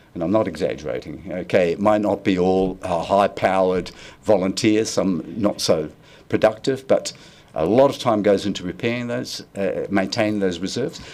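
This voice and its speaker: A man with a New Zealand accent speaks at a moderate pace. His voice is fairly low, with ordinary pitch variation. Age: 70s. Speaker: community volunteer group leader. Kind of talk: public submission to council hearing. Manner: halting, many restarts.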